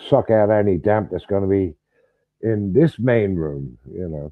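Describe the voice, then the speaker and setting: The man speaks at a fairly slow pace. His pitch swings very widely. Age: 70s. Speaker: vlogger. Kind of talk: casual chat. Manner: halting.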